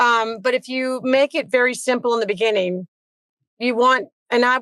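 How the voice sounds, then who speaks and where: Fairly slow and fairly high in pitch, a woman talks in an unremarkable speaking voice. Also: dry, close sound with no echo. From Virginia, Petersburg area. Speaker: tennis coach. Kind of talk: casual interview.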